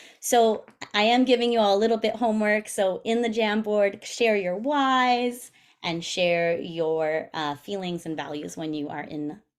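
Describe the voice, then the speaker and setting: A woman with an ordinary speaking voice talks at a moderate pace and medium pitch, her intonation lively and her loudness swinging widely. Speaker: PTA president. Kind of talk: presentation over video meeting. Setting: video call. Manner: casual, filler-heavy.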